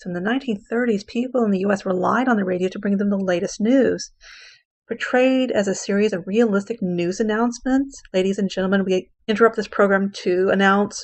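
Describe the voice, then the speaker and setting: An ordinary speaking voice from a woman, medium-pitched, fairly quick, with fairly even intonation. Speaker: English teacher. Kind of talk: lecture.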